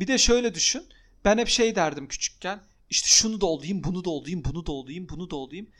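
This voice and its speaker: On a very clean recording with a silent background, a man speaks fairly quickly with lively intonation and a high pitch. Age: 30s. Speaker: podcast co-host. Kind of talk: casual chat.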